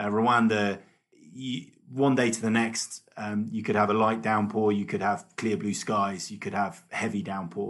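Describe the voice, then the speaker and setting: Speaking at a fairly slow pace, a man with a British accent keeps a fairly low pitch and fairly even intonation. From UK. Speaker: race organiser. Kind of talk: casual chat.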